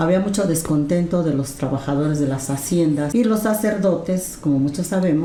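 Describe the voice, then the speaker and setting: A woman with a very deep, low pitch and ordinary pitch variation is heard through noticeable background noise and audible room echo. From Mexico City. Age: 70s. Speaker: storyteller. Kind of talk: storytelling interview.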